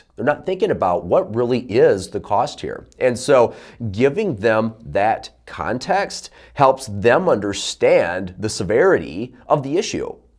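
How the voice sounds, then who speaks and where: In a quiet background, a man speaks at a fairly slow pace. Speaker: sales coach. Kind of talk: tutorial. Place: studio.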